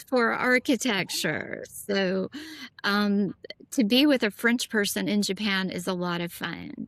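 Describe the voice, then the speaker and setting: A woman has an unremarkable speaking voice with an American accent, medium pitch and ordinary pitch variation. She speaks at a fairly slow pace in a dry, close sound with no echo. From US South, Nashville. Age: 50s. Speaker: former international model. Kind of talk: casual interview chat.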